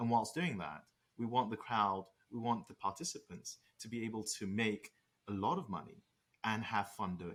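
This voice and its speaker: At a moderate pace, a man with a British accent speaks at medium pitch with ordinary pitch variation and big swings in loudness. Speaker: startup co-founder. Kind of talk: interview.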